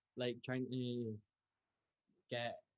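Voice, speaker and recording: Here a man speaks in a Scottish accent at a medium pitch. His pace is very slow. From northeast Scotland. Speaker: music student, folk fiddler. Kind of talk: casual chat.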